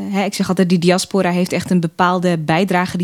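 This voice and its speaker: A woman with a plain, everyday voice speaks at a fairly quick pace and fairly low pitch, the sound dry and close with no echo. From Netherlands, Assen (born in Eritrea). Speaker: political candidate, political scientist. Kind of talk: podcast interview.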